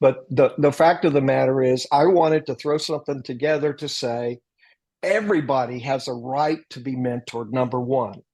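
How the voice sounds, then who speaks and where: Moderate pace and medium pitch from a man, his pitch varying in an ordinary way. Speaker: military veteran and retired corporate leader, author on mentoring. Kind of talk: podcast interview. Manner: loud.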